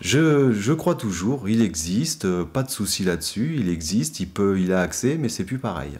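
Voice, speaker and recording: Lively in intonation, a man speaks at a very slow pace. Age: 40s. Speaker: practising occultist; interviewee. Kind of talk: interview. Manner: hesitant, many fillers. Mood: calm, earnest. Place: studio.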